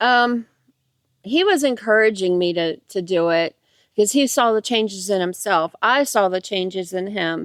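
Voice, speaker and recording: A woman with an ordinary speaking voice talks at a moderate pace and medium pitch with ordinary pitch variation, the recording very clean with a silent background and a dry, close sound with no echo. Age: 50s. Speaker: hiker. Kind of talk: casual interview. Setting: outdoors on a hiking trail.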